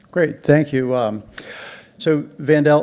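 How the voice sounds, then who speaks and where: A man speaks at a fairly slow pace in a fairly high pitch, with an unremarkable speaking voice. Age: 60s. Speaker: panel moderator. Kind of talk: panel discussion.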